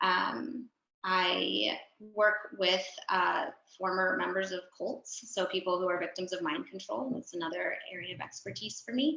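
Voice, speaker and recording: A woman's normal speaking voice with an American accent, medium pitch, lively intonation, and a fairly slow pace. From US, San Diego California. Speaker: clinical psychologist. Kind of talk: panel talk.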